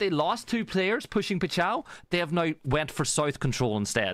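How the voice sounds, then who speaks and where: The speaker uses an Irish accent at a moderate pace, with very wide pitch swings. Noticeable background noise runs under the voice. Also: man. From Ireland. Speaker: esports caster. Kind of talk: live commentary.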